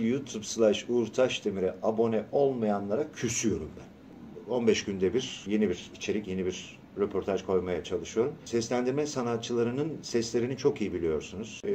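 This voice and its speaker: At a medium pitch and moderate pace, a man speaks in a dark, mellow tone, with ordinary pitch variation and hardly any pauses. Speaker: voice actor. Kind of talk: radio interview. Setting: radio studio. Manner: animated.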